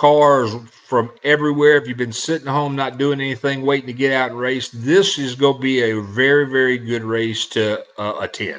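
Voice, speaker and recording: Speaking in a Southern US accent, a man uses a medium pitch and fairly even intonation. His moderate pace comes through noticeable background noise. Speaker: internet radio host. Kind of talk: casual show talk, event promotion. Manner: hesitant, many fillers.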